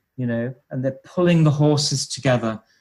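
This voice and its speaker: With a British accent, a man speaks at a moderate pace and medium pitch, using ordinary pitch variation. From UK. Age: 60s. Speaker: health researcher and former HIV nurse. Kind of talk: interview.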